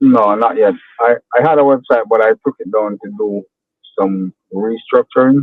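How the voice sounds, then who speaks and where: Man with a strong Jamaican accent, medium pitch, ordinary pitch variation and moderate pace. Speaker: landscaper, small business owner. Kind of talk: coaching call.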